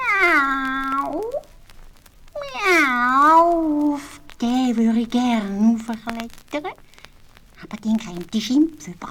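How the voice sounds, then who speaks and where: A woman puts on a character voice with a high pitch. She speaks at a very slow pace, with long, frequent pauses. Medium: read story. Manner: meowing.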